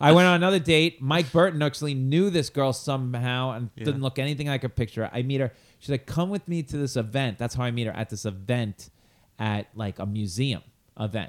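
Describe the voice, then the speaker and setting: A man's medium-pitched voice at a fairly quick pace, with lively intonation. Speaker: stand-up comedian, podcast co-host. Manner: animated storyteller.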